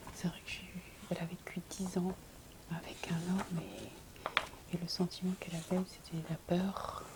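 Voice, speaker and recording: A woman whispers in a gentle tone at a fairly slow pace over noticeable background noise. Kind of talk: ASMR bedtime talk with soft guided meditation. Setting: home video, close to microphone. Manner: soft-spoken, gentle, low voice.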